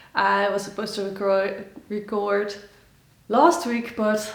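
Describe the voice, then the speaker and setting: Against noticeable background noise and audible room echo, a woman talks at a fairly slow pace in a fairly high pitch. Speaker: knitting podcaster. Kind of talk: casual chat. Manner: halting with many fillers.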